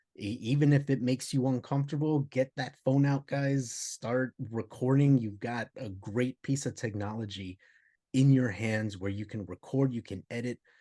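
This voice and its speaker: Dark, mellow tone at a moderate pace, ordinary pitch variation and a dry, close sound with no echo over a quiet background. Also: man. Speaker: podcast co-host. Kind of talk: casual podcast chat. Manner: repetitive stammering.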